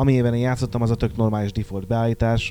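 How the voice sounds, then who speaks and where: Fairly quick and flat in intonation, a man speaks at medium pitch with a dark, mellow tone. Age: young. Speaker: magazine editor. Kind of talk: casual chat.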